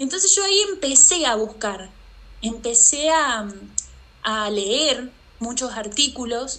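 A woman speaks at a high pitch with lively intonation. Her pace is very slow, with long, frequent pauses. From Argentina, Santa Fe. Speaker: artist and mother. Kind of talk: interview conversation. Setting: remote call.

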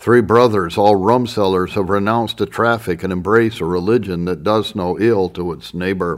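In a plain, everyday voice, a man with a fairly low pitch keeps fairly even intonation at a moderate pace with hardly any pauses. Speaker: audiobook narrator. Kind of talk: literary audiobook reading of historical text. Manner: formal, measured, solemn narration; steady, even-paced reading.

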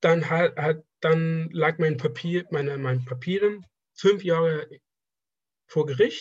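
With long, frequent pauses, a man with a fairly high voice speaks very slowly, his pitch varying in an ordinary way. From Afghanistan. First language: Persian (speaking German). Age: 20s. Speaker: draftsman, former student. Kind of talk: casual interview. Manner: halting.

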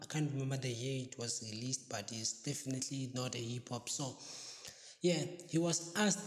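Noticeable background noise runs under the clip. A man speaks at a fairly high pitch. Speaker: podcast host. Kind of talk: casual news roundup.

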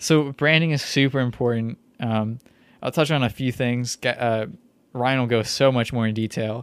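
In an ordinary speaking voice, a man at a medium pitch speaks at a moderate pace with fairly even intonation. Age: 20s. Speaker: podcast co-host. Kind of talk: casual chat.

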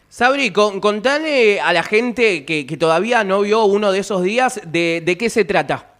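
Using a Rioplatense accent, a man speaks in a high pitch at a fairly slow pace with hardly any pauses, his tone animated and his intonation lively. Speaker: radio host. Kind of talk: radio interview.

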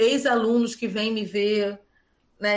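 A woman's fairly high-pitched voice, a normal speaking voice. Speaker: schoolteacher. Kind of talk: interview.

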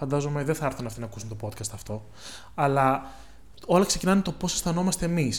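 Somewhat breathy and fairly high-pitched, a man speaks at a very fast pace with lively intonation. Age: 20s. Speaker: podcast co-host. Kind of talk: casual chat.

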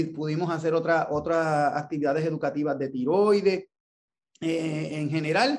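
In a Puerto Rican accent, a man speaks at a high pitch. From Puerto Rico, Ponce. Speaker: endocrinologist. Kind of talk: interview. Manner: halting.

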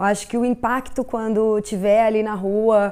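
A fairly high-pitched woman's voice at a fairly slow pace, with fairly even intonation, on a very clean recording with a silent background. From Brazil, interior of São Paulo state (Tupã). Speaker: street artist. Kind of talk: documentary interview. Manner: reflective, with hesitations.

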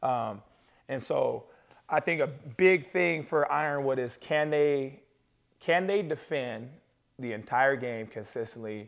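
With an ordinary speaking voice, a man speaks at a medium pitch and a fairly slow pace. His intonation is lively, and his loudness swings widely. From Pocatello, Idaho. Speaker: basketball trainer and podcast co-host. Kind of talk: casual chat. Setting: living room.

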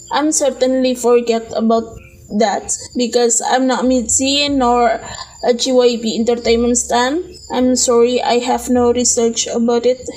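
Through noticeable background noise, a woman speaks slowly at a high pitch with fairly even intonation. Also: very even loudness. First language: Indonesian. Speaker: podcast host. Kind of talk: casual solo monologue. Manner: halting, self-correcting.

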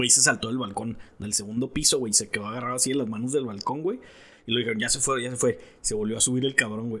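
At a very fast pace, a man speaks in a bright, sharp tone. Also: medium pitch for a man. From Mexico. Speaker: podcast co-host. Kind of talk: casual chat. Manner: animated.

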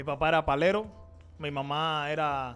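Music plays in the background. A man with a fairly high pitch talks at a fairly slow pace. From Cuba, Havana. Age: 20s. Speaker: pastor. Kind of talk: interview testimony.

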